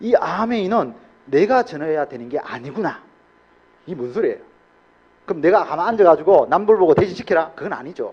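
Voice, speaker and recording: In an animated tone, the speaker moves at a fairly quick pace with very wide pitch swings, big swings in loudness, and long, frequent pauses. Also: man. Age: 70s. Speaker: motivational speaker at a business seminar. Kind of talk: seminar talk to an audience.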